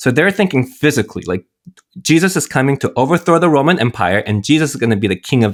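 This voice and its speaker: The speech comes at a very fast pace with very wide pitch swings. The recording is very clean and dry, with a close sound, no echo and a silent background. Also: man, fairly high pitch for a man. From US, Korean-American family. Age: 40s. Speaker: priest. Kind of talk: casual chat.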